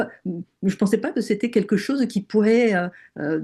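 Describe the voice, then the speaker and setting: A woman's dark, mellow voice at medium pitch, with ordinary pitch variation, a slight southern French accent and a quiet background. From southern France. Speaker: NLP and hypnosis trainer. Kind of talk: webinar conversation. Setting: online webinar. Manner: hesitant, many fillers.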